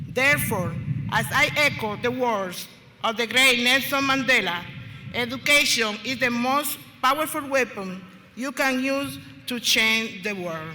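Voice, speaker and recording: A voice with lively intonation and a Spanish accent comes through audible room echo and noticeable background noise. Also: woman, high pitch for a woman, fairly slow pace. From Dominican Republic. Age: 50s. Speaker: student speaker. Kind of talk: ceremonial speech. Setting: stage with audience. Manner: formal.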